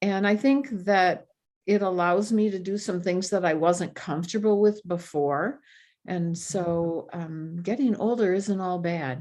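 An unremarkable speaking voice with an American accent talks at a fairly slow pace with ordinary pitch variation. The background is quiet. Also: woman, medium pitch for a woman. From Michigan (Grand Rapids). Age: 60s. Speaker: retired speech pathologist. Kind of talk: podcast interview.

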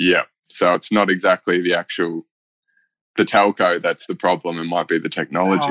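A man with an Australian accent speaks at a moderate pace in a very deep, low voice, his intonation fairly even and the sound dry and close with no echo. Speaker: podcast co-host.

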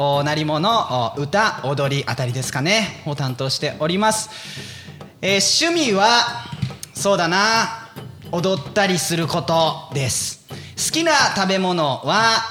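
A man speaks at a very slow pace in a high voice. Noticeable background noise and audible room echo surround him. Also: lively intonation. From Fukushima, Japan (Iwaki). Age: 30s. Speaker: taiko drummer and stage performer. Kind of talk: casual chat.

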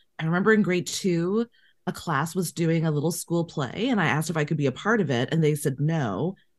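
A woman with a Canadian accent uses a normal speaking voice, fairly low in pitch with ordinary pitch variation, moving at a fairly quick pace on a very clean recording with a silent background. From Canada, Winnipeg. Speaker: casting director. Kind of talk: casual interview.

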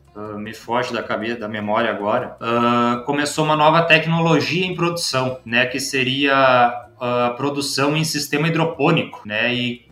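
A man talks with hardly any pauses and ordinary pitch variation. Noticeable background noise is present. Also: medium pitch for a man, moderate pace. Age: 20s. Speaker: vegetable farmer and agronomist. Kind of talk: casual interview.

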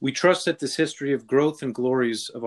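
A man talks at a fairly quick pace. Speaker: podcast host. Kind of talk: interview. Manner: halting.

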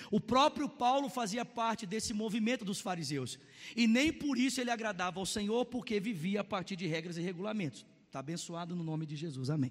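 Speaking with a Brazilian accent, a man with a high pitch sounds animated, moving at a fairly quick pace with lively intonation. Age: 30s. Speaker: pastor. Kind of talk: sermon. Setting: church service with congregation.

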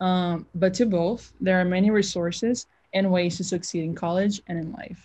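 A somewhat breathy woman's voice with an American accent, at a medium pitch and moderate pace, with ordinary pitch variation. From outside the US. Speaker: student athlete, interviewer. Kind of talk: interview.

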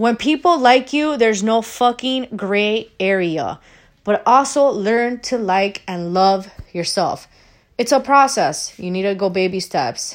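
A woman's animated, fairly high-pitched voice, fairly slow, with lively intonation. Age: 30s. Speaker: podcast host. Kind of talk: casual monologue rant. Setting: solo recording.

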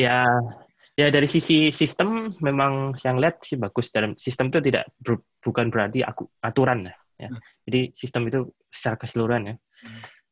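A man with an unremarkable speaking voice talks at a medium pitch and a fairly quick pace, with ordinary pitch variation and big swings in loudness, in a dry, close sound with no echo. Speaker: engineering professor. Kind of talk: casual interview. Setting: video call.

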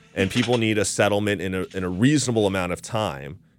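In a very clean recording with a silent background, a man with an American accent speaks at a moderate pace in a very deep, low voice with ordinary pitch variation. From Florida. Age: 30s. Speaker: attorney. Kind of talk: casual chat. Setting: studio.

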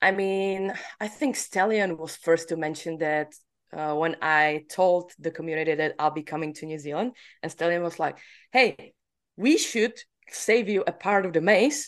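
A woman with a Czech accent and ordinary pitch variation. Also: quiet background. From Czech Republic. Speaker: laser tag player and podcaster. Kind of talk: casual interview chat. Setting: remote call.

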